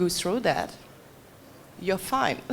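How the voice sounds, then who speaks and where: Her pitch is medium and shifts with ordinary variation as the woman talks. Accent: French. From France. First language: French. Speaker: gallery owner. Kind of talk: panel discussion. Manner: halting.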